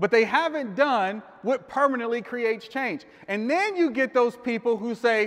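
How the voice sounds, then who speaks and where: This man speaks at an extremely high pitch with ordinary pitch variation. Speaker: life coach and motivational speaker. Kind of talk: live motivational speech to a room of men. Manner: conversational, audience-interactive, casual.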